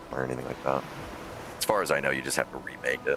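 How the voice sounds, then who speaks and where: A man's voice with noticeable background noise. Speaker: gaming streamer. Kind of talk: live game stream chat. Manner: louder than usual.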